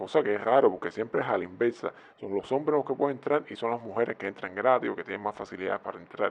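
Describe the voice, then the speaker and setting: This man's voice is mid-range, varying in pitch in an ordinary way. He rattles along very fast. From Cuba. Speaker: YouTube commentator. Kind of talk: video commentary. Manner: conversational.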